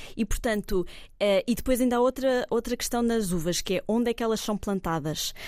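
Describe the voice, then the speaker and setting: Fairly high-pitched woman's voice with ordinary pitch variation, very clean recording over a silent background. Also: fairly quick pace, very even loudness. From Portugal, Cascais. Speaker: wine tourism consultant. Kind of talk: casual chat. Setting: restaurant table. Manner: calm.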